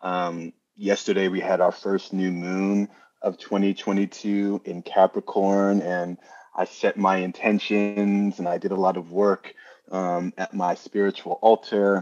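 The voice has a New York accent and a monotone, flat intonation. The sound is dry and close, without echo. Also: man. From New Jersey. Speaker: astrologer and numerologist. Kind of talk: interview explanation.

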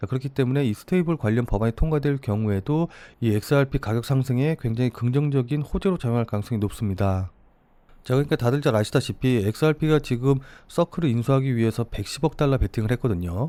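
On a very clean recording with a silent background, a man speaks at medium pitch in a dark, mellow tone with ordinary pitch variation and very even loudness. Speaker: crypto trader and market commentator. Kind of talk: market analysis video. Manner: formal.

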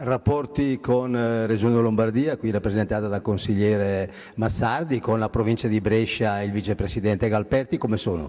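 A man speaks at medium pitch with a dark, mellow tone. His pace is moderate and his pitch varies in an ordinary way. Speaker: live show host. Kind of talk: talk show hosting. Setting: live broadcast at a company site. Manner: formal.

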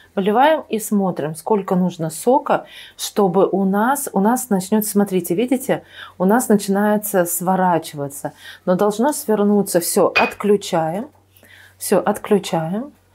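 A woman talks at a very slow pace in a medium, dark and mellow voice with ordinary pitch variation. Her loudness stays very even on a very clean recording with a silent background. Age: 50s. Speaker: nutrition expert, cooking channel host. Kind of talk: cooking tutorial. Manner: hesitant, many filler sounds.

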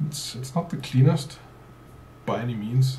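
A man at a moderate pace with ordinary pitch variation, amid audible room echo. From South Africa. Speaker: car YouTuber. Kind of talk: casual commentary. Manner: casual, thinking aloud. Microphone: webcam.

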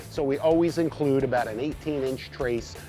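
A man at a moderate pace with ordinary pitch variation, dry sound with no echo, and clear music in the background. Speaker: fishing show host. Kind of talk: tutorial. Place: boat.

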